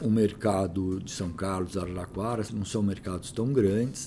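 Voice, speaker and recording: A man with a plain, everyday voice speaks at a moderate pace with a fairly low pitch and fairly even intonation. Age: 50s. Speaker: real estate company CEO. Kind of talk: interview.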